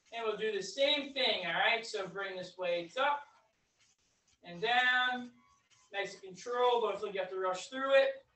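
In a room with audible echo, a woman speaks at a fairly high pitch and a moderate pace with ordinary pitch variation, big swings in loudness, and long, frequent pauses. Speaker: fitness instructor. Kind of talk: guided exercise class. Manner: calm, encouraging, steady; paced by counting down. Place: empty room. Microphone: camera far.

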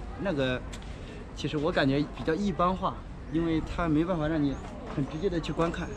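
Noticeable background noise runs under a man's voice. He keeps a moderate pace and fairly even intonation. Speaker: interviewee. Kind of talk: interview answer. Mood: friendly, smiling. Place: street. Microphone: phone near.

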